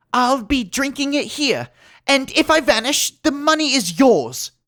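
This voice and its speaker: A man's put-on character voice, whiny and extremely high-pitched, at a moderate pace on a very clean recording with a silent background. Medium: read story. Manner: nervous, anxious.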